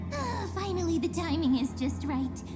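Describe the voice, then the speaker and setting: Someone uses a put-on character voice at a moderate pace while loud music plays in the background. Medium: game stream. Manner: playful.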